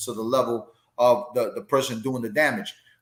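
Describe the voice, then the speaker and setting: Speaking at a very fast pace, a man keeps his intonation fairly even. He has an American accent. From New York (the Bronx). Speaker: boxing podcast host, former boxer. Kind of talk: casual chat. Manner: halting, repetitive.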